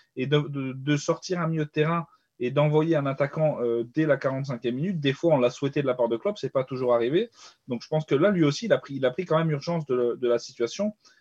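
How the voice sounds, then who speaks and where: A man's fairly high, somewhat breathy voice at a fairly quick pace, dry and close with no echo. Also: ordinary pitch variation. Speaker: football podcast panelist. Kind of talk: casual chat.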